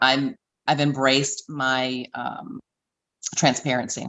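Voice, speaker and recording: This is a woman speaking. She has a Southern US accent. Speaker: beauty pageant queen and fitness trainer. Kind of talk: interview.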